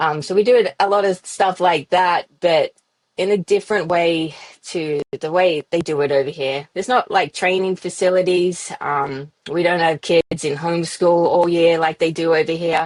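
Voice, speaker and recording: Recorded with a dry, close sound and no echo, a woman with an Australian accent speaks at a moderate pace, her pitch fairly low and intonation fairly even. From Australia, Yass near Sydney. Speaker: professional off-road motorcycle racer. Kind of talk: podcast interview.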